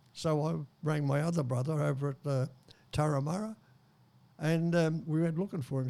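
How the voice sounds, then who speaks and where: A man with an Australian accent, fairly high in pitch, with ordinary pitch variation and a dark, mellow tone. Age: 90s. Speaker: war veteran. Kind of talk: interview. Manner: halting.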